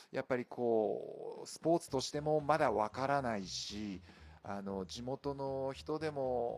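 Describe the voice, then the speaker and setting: An unremarkable speaking voice from a man, medium in pitch and fairly slow, with lively intonation and big swings in loudness. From Fukushima, Japan (Nishigo village). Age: 40s. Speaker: trail running athlete. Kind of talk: casual chat.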